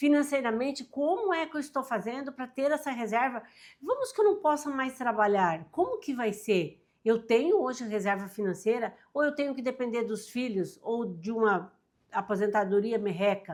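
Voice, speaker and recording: A woman with high pitch, lively intonation and a moderate pace. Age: 60s. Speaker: self-help youtuber. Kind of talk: motivational talk to camera. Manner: animated.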